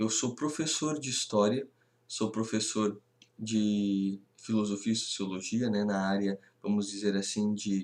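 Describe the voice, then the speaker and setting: Recorded very cleanly against a silent background, a man speaks at a fairly slow pace with fairly low pitch and fairly even intonation. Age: 20s. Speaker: history teacher. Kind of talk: lecture. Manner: halting.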